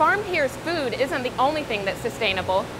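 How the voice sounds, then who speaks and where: Speaking high and fairly fast, a woman is heard through noticeable background noise. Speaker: news reporter. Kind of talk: broadcast news reporting.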